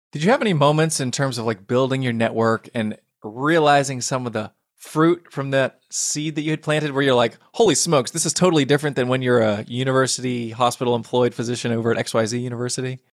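Very fast speech comes from a man at a medium pitch. His pitch variation is ordinary. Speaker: podcast host. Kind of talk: interview, podcast host. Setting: podcast recording.

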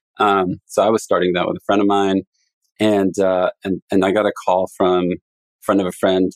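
Recorded very cleanly against a silent background, a man with a fairly low pitch speaks at a fairly quick pace. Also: dry, close sound with no echo. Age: 40s. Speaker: venture capital investor. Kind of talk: casual interview. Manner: halting.

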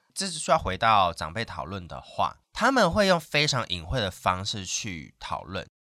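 A man talks at a moderate pace with hardly any pauses. The recording is very clean, with a silent background. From Taiwan, Hakka area of Meinong, Kaohsiung. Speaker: radio host. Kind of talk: casual interview chat.

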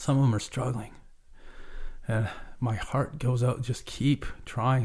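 Somewhat breathy speech in a Canadian accent at a fairly quick pace, with ordinary pitch variation. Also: man. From Vancouver Island, Canada (Cowichan Valley). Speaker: charity renovation director, former carpenter. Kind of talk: interview, personal testimony. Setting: recording studio.

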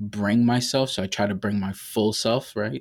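A man with an American accent speaks in an ordinary speaking voice. His pitch is fairly low, and his intonation stays fairly even. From Brooklyn, New York and Massachusetts. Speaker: healthcare administrator. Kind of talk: interview.

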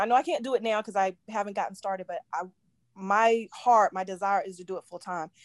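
A woman's normal speaking voice, fairly high in pitch, at a fairly quick pace with fairly even intonation, in a dry, close sound with no echo. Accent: American. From Virginia, US. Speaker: caller. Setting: live video call.

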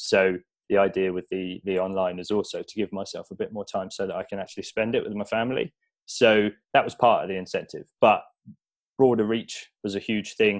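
A man's voice with big swings in loudness, in a dry, close sound with no echo and a very clean recording with a silent background. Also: fairly quick pace. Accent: southern English. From southern England, Buckinghamshire. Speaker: online fitness coach. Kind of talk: interview.

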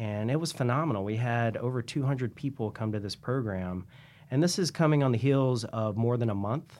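A man's medium-pitched voice with an American accent, fairly quick pace and ordinary pitch variation. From US South, Columbia, South Carolina. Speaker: city librarian. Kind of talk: interview. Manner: animated.

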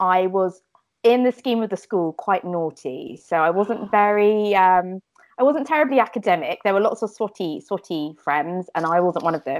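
With a southern English accent, a woman speaks at medium pitch and a moderate pace, her intonation lively. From southern England, Fleet in Hampshire. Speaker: children's fashion designer. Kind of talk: casual interview chat.

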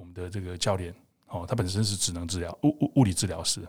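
A somewhat breathy man speaks at a fairly quick pace on a very clean recording with a silent background. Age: 50s. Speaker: emergency doctor and fitness coach. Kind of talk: interview conversation.

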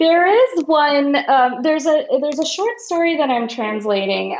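Over noticeable background noise, a woman speaks at a moderate pace with very wide swings in pitch. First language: Marathi. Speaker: translator. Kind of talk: casual interview chat.

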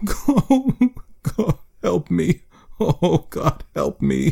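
A man is shouting. The sound is dry and close, with no echo. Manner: desperate, shouting.

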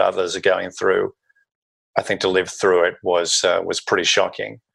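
A man speaks with an Australian accent. Behind him the background is quiet. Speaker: consultant. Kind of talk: interview conversation.

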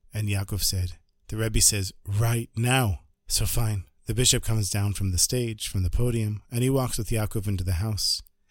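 This man sounds animated, talking at a moderate pace with a somewhat breathy, medium-pitched voice. The recording is very clean, with a silent background. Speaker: storyteller podcaster. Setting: Jerusalem. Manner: animated, conversational, shifting to present tense as the story builds.

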